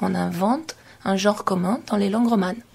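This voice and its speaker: A woman speaks at a medium pitch with lively intonation. Vocal fry shows up in her voice. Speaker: sociolinguistics lecturer. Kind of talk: radio interview.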